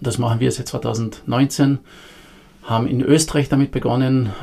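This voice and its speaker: Somewhat breathy with a dark, mellow tone, a man speaks with fairly even intonation. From Austria, Carinthia. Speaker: founder of a youth entrepreneurship program. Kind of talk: podcast interview.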